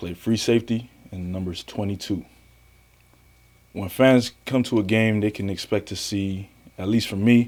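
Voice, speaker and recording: At a moderate pace broken by long, frequent pauses, a man with an American accent talks at a fairly low pitch, with fairly even intonation and big swings in loudness. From US South, Miami, Florida. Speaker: semi-pro football player. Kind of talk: interview. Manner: hesitant with many fillers.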